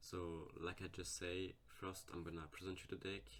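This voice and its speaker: A man speaks with a non-native accent at a very deep, low pitch. Vocal fry runs through his voice. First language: not English. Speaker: gaming YouTuber. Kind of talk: game tutorial. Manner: hesitant, with fillers.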